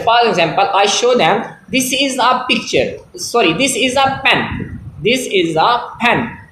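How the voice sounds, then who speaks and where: With a Pakistani accent, a man speaks at an extremely high pitch with ordinary pitch variation, amid noticeable background noise and audible room echo. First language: Punjabi. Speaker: English teacher. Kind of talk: tutorial. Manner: halting.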